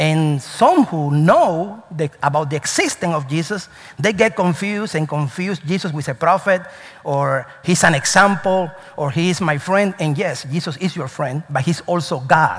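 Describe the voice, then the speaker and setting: With a Spanish accent and an animated tone, a man speaks at a moderate pace and high pitch with ordinary pitch variation, over noticeable background noise. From Cuba. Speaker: pastor. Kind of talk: sermon. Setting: church.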